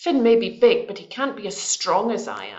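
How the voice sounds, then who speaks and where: In a put-on character voice, a woman growls at a fairly high pitch and a moderate pace. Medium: read story. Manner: growling, boastful.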